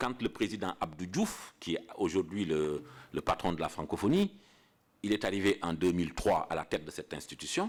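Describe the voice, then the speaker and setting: There is lively intonation from this man, whose pitch is fairly low. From Senegal. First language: Pulaar (Fula) (speaking French). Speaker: international civil servant giving a lecture. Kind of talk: lecture. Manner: halting, with repetitions.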